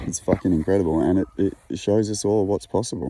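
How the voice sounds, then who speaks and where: A man with an Australian accent speaks at a moderate pace in a very deep, low pitch, his tone relaxed, dark and mellow. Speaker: poet and musician, outdoor adventurer. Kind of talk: casual monologue. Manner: relaxed, hesitant with fillers and repetitions.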